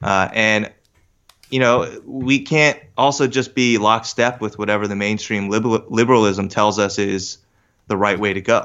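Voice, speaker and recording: A man with an American accent at a fairly low pitch, fairly even intonation and a moderate pace. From US Northeast, Westchester, New York. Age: 30s. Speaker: business analyst and magazine co-founder. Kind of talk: casual interview. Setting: in person, recording together. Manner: halting, with many restarts.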